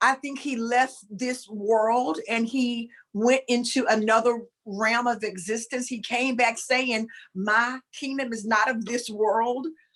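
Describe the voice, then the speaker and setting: A woman speaks at a very slow pace, her fairly high pitch held in a fairly even intonation. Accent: Southern US. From US South, rural. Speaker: spiritual talk show co-host. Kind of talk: casual spiritual discussion on a livestream. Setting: live video stream. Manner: sounds fussy, scolding.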